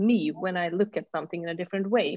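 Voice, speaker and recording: Hers is an unremarkable speaking voice, a woman's at medium pitch with ordinary pitch variation. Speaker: podcast host. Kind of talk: interview conversation.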